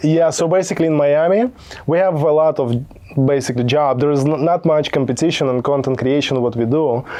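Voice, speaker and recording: A man's fairly quick speech at very even loudness with ordinary pitch variation, over noticeable background noise. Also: fairly high pitch for a man. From Belarus. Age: young. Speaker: content creation entrepreneur. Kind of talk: casual podcast interview. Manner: halting, many repetitions and fillers.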